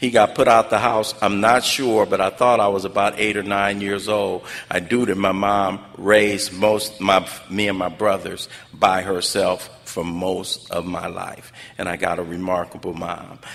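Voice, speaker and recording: A man with an American accent, fairly low-pitched and monotone with flat intonation, at a fairly slow pace amid noticeable background noise. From South Central Los Angeles (Watts). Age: 60s. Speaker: recovery speaker. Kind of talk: testimony.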